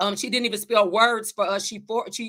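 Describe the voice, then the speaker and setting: On a very clean recording with a silent background, a woman with a Southern US accent sounds animated, her fairly high voice bright and sharp. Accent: Southern-tinged country dialect. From Chicago suburbs, US Midwest. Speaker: life coach, vlogger. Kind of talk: motivational vlog talk. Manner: animated, repetitive with self-corrections.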